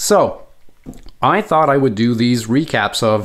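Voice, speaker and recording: This man speaks in a Quebec accent at a medium pitch. His pitch varies in an ordinary way. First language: French. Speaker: board game video creator. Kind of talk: tutorial. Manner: casual, with frequent fillers.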